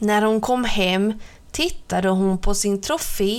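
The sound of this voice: The voice is an unforced reading voice.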